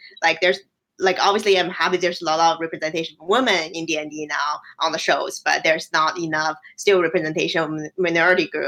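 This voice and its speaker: A very fast woman's voice, fairly low in pitch, bright and sharp in tone. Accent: Chinese. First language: Chinese. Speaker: games researcher. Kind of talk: casual chat. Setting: live stream.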